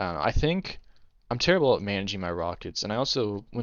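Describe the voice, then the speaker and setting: Talking at a very fast pace, a man uses a very deep, low voice. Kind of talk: casual gameplay commentary. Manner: stuttering, hesitant; unscripted, rambling with pauses.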